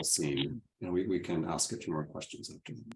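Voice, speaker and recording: A man with an American accent, a dark, mellow tone and very wide pitch swings. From Texas. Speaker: moderator. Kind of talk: panel discussion.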